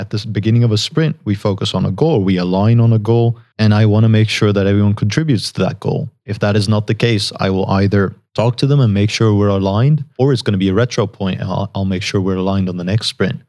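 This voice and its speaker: A man with a Dutch accent speaks at a very fast pace with hardly any pauses, his fairly low voice dark and mellow in tone with ordinary pitch variation, on a very clean recording with a silent background. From Netherlands. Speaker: software engineer. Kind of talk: interview.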